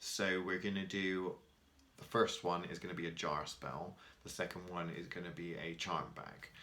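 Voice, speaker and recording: Speaking at a fairly slow pace, a man uses a very deep, low pitch with a bright, sharp tone and fairly even intonation. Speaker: spell-casting teacher. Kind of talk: tutorial. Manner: casual, with filler ums.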